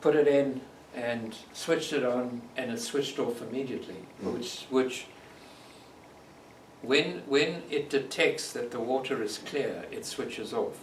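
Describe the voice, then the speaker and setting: With a South African accent, a man speaks at a medium pitch and fairly even intonation, leaving long, frequent pauses amid noticeable background noise. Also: fairly slow pace. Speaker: long-distance bike touring nomad. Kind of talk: storytelling talk to audience. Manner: thoughtful.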